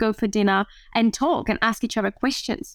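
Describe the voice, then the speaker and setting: A woman with a French accent, fairly high in pitch, at a moderate pace. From France. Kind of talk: casual interview.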